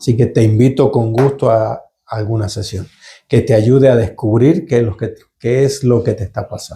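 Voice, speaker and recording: Somewhat breathy and dark, mellow in tone, a man speaks at a moderate pace and medium pitch with fairly even intonation. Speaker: holistic therapist / channeler. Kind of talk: live Q&A session. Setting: live stream. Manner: halting, some repetitions.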